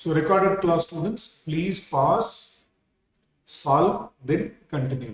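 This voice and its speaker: At a very slow pace, a man speaks with a high pitch and lively intonation. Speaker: accounting teacher. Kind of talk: lecture. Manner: repetitive.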